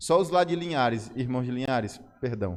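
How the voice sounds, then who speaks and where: With audible room echo around him, a man speaks at a moderate pace. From Brazil, Ceará. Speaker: pastor. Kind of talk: sermon. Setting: church service.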